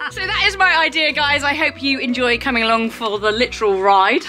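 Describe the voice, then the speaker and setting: A woman's voice with faint music in the background. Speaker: horse vlogger. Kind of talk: casual vlog chat. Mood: cheerful, playful. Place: farm machine. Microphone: phone near.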